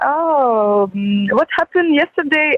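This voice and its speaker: A woman with a Ukrainian accent talks with ordinary pitch variation. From Ukraine. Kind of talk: phone interview. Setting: video call.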